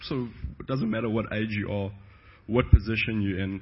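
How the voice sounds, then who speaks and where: A man with a South African accent and a fairly low pitch. His voice is somewhat breathy. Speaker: pastor. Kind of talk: testimony.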